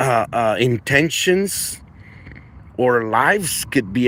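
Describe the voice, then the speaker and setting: A man with a non-native accent talks at a medium pitch with very wide pitch swings, over noticeable background noise. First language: not English. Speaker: aviation live streamer. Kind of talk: live stream commentary.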